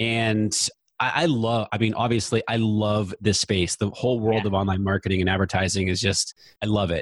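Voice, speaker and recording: A man with an American accent talks at a fairly quick pace with a fairly low pitch and fairly even intonation. His loudness stays very even on a very clean recording with a silent background. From US, New Hampshire. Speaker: Facebook ads expert, podcast host. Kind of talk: casual interview chat.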